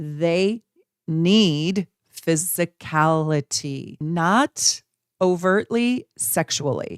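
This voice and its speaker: A woman with a fairly low pitch is heard in a very clean recording with a silent background and a dry, close sound with no echo. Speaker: astrologer. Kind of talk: casual video talk to viewers. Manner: animated.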